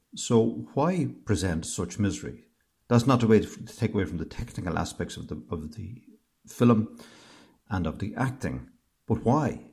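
In an Irish accent, a man with a dark, mellow tone speaks at a moderate pace and fairly low pitch, with vocal fry, very wide pitch swings and big swings in loudness. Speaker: host's family member. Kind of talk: recorded voice message. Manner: halting.

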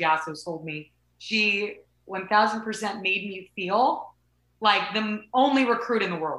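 A woman with an American accent, medium in pitch, at a very slow pace. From Southern California. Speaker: softball coach and former college athlete. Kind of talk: interview. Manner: animated.

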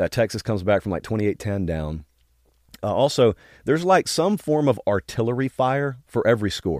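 In a very clean recording with a silent background and a dry, close sound with no echo, a man with a Southern US accent speaks at a fairly quick pace and medium pitch, his pitch swinging very widely. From Georgia. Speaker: college football show host. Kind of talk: casual interview. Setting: studio.

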